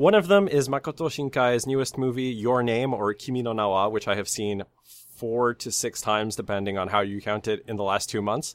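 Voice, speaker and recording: A man with an ordinary speaking voice talks at a moderate pace with lively intonation on a very clean recording with a silent background. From Canada. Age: 20s. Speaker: podcast co-host. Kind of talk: casual chat.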